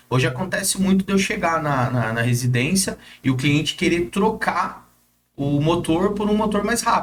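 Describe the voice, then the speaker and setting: Intonation from this man is lively. He talks at a moderate pace. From Brazil, São José dos Campos (São Paulo state). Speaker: gate automation installer and social media influencer. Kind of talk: interview. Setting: studio. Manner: casual, hesitant with filler words.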